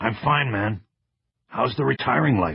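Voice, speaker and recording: A raspy, put-on character voice moves at a moderate pace with very wide pitch swings. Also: man. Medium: read story. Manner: casual, joking.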